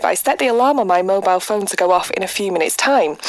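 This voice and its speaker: Talking at a very fast pace, a woman uses ordinary pitch variation over noticeable background noise. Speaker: radio presenter. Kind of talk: radio show banter.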